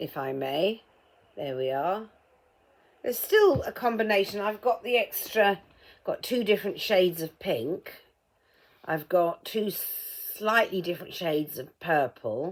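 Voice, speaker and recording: A woman talks at a fairly slow pace and a medium pitch, with very wide pitch swings and long, frequent pauses. The recording is very clean, with a silent background. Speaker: vlogger. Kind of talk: casual vlog while painting a mug. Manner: muffled, as if ball in mouth; hesitant, many ums.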